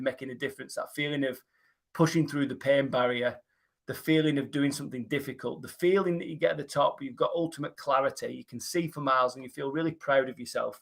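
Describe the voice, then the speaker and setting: Talking very fast, a man speaks with a British accent. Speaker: business coach. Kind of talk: webinar presentation. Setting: live workshop with Zoom audience. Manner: fast when excited; halting, many fillers and repeats.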